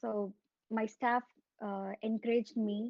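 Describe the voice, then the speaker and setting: With a Tamil Nadu accent, a woman speaks at a fairly high pitch in a monotone, flat intonation. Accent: Tamil Indian English. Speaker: alumnus speaker at student induction. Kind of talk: informal talk to students. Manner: hesitant, many fillers.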